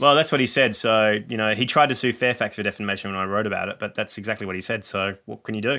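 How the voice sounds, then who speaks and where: The speech comes at a very fast pace with an Australian accent. Intonation stays fairly even. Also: man, fairly low pitch for a man. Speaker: comedian. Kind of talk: casual chat.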